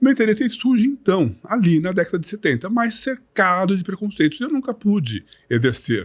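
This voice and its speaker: The pace is moderate, with hardly any pauses. Pitch swings very widely throughout. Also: man, high pitch for a man. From Brazil, São Paulo. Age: 60s. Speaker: retired bodybuilder. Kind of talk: podcast interview. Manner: articulate, measured.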